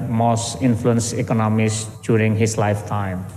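The speaker is male. He talks at a medium speed. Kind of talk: formal welcome speech. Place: hall. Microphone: podium.

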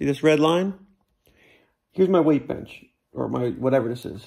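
There is vocal fry in this man's voice. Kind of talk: casual vlog chat. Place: garage. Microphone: phone near.

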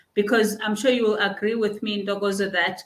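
A woman delivers her words in a monotone with flat intonation. Room echo is audible. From South Africa. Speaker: bank executive and chartered accountant; guest. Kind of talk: interview. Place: office. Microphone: webcam.

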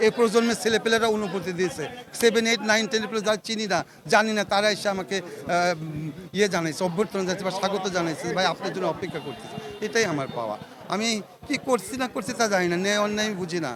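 Noticeable background noise accompanies a man with a high pitch whose pitch varies in an ordinary way. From Bangladesh, Pabna (Ishwardi). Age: 50s. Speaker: local politician. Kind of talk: press statement after prison release. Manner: halting.

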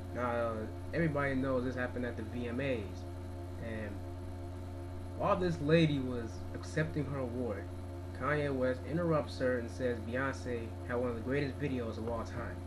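A man speaks at a moderate pace with a medium pitch and lively intonation, leaving long, frequent pauses. Noticeable background noise runs underneath. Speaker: video blogger. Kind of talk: angry video rant. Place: home room. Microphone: webcam.

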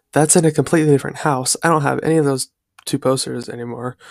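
A man is speaking against a quiet background. The sound is dry, with no echo. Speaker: youtuber. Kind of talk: casual reaction vlog chat. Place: home room. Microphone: headset.

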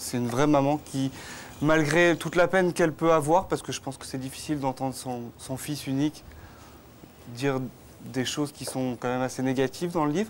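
A man with a fairly high pitch and ordinary pitch variation, talking fairly quickly amid light background noise, with long, frequent pauses. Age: 30s. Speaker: author of a memoir; guest. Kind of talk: TV talk show interview. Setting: outdoor TV set in Cannes. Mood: earnest, personal, emotional topic. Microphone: lapel.

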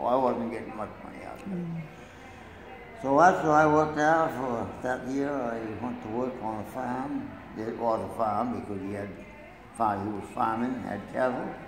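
A man's medium-pitched voice with an American accent, moderate pace, ordinary pitch variation and big swings in loudness, amid noticeable background noise. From Maine, USA. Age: 80s+. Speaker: grandfather telling life story. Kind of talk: interview answer. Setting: nursing home room. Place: hall. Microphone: phone near.

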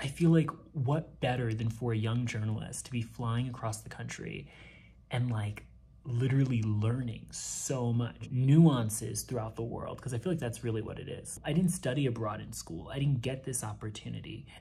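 A man's voice sounds dark, mellow and somewhat breathy. He talks at a moderate pace. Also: ordinary pitch variation. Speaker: flight attendant vlogger. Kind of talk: casual vlog chat. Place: home room. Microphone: phone near.

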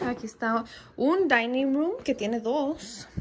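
The speaker is a woman. She talks at a moderate pace.

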